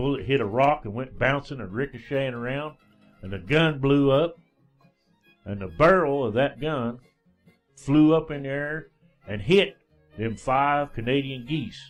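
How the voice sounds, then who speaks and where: With a Southern Appalachian accent, a man talks at a moderate pace and a fairly high pitch, with ordinary pitch variation and big swings in loudness. He takes long, frequent pauses while music plays in the background. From East Tennessee, Smoky Mountains foothills. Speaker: radio DJ and storyteller. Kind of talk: folk tale storytelling. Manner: folksy, casual.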